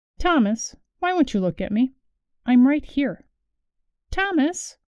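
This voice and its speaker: High-pitched and fairly slow, a put-on character voice from a woman. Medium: read story. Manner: soft, coaxing.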